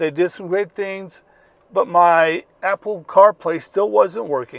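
A man's high-pitched voice at a fairly slow pace, with ordinary pitch variation, in a dry sound with no echo and a quiet background. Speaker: car owner vlogger. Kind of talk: casual vlog chat. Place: car. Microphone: lapel.

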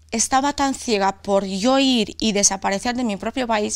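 Against a quiet background, a woman with a strong Castilla-La Mancha accent speaks at a fairly high pitch with fairly even intonation. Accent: Albacete Spanish accent, strong. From Romania. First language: Romanian (speaking Spanish). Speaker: author; interviewee. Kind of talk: interview. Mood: serious, recounting painful past. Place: studio.

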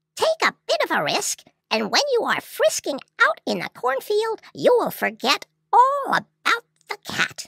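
The pitch sits extremely high. It belongs to a put-on character voice. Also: moderate pace. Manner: brisk, practical.

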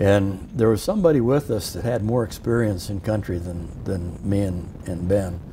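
A man with a Midwestern US accent at a fairly low pitch, moderate pace and ordinary pitch variation, over noticeable background noise. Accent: US Midwest. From Iowa. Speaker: war veteran. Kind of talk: oral history interview. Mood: reflective, sometimes amused. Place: studio. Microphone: lapel.

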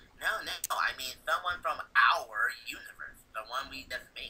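This is a put-on character voice. It goes at a moderate pace. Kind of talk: fan reading of a comic chat log. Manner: cocky, irritable, brash.

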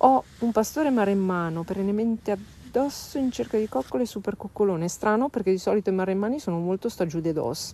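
Speaking at a fairly quick pace with hardly any pauses, a woman uses lively intonation and a dark, mellow tone in a dry recording with no echo. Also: medium pitch for a woman. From northern Italy, Varese (Lombardy); Lombardy, Italy. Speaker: dog trainer. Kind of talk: live stream Q&A. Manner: casual, hesitant with fillers. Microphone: phone near.

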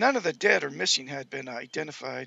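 A man speaks at a moderate pace, and the sound is dry with no echo. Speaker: amateur web show host. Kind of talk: reading news aloud. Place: home room. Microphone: headset.

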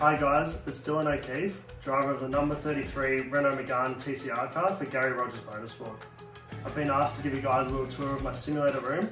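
Clear music in the background, a fairly quick pace, and fairly even intonation. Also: man. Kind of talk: casual vlog chat. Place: home room. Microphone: phone near.

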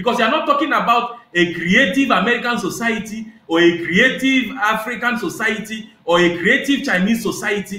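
This voice has a bright, sharp tone and lively intonation. Audible room echo surrounds it. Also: man.

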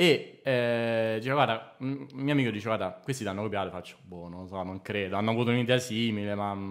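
Talking at a very fast pace with hardly any pauses, a man shows ordinary pitch variation and big swings in loudness. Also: medium pitch for a man, quiet background. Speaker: comedy writer. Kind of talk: casual chat. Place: home room. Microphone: studio mic.

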